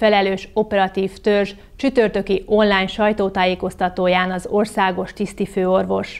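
A woman at a moderate pace in a monotone, flat intonation against a quiet background. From Hungary. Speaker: news anchor. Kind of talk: news reading. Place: studio. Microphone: lapel.

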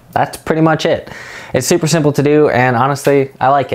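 A man is talking. He keeps a fairly quick pace. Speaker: video editing creator. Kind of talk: casual tutorial vlog chat. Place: home room. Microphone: lapel.

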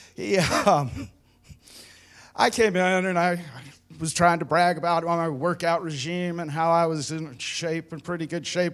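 This man speaks in an animated tone with a high pitch. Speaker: veteran stand-up comic. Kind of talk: stand-up comedy. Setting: stage with audience. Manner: animated, laughing at own punchlines. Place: stage. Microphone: handheld.

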